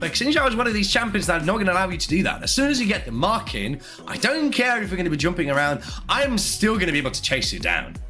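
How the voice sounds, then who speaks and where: A man with a raised, projected voice, high pitch, very wide pitch swings, an animated tone and a very fast pace, with audible room echo and music in the background. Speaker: esports caster. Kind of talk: live commentary.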